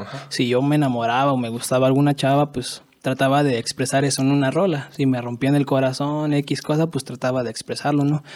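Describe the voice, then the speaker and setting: In a Mexican accent, a man talks at a fairly quick pace with monotone, flat intonation. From Mexico, Michoacán (Pátzcuaro). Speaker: rapper. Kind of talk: casual chat. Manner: halting.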